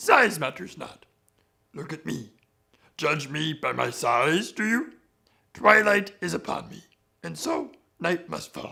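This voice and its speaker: Putting on a guttural character voice, a man speaks fairly slowly at a fairly high pitch, with big swings in loudness and long, frequent pauses. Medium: tutorial demo.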